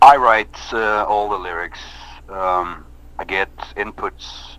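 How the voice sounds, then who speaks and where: A man's bright, sharp voice with ordinary pitch variation and a Norwegian accent. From Norway. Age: 30s. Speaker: metal band singer. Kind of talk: interview. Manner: halting.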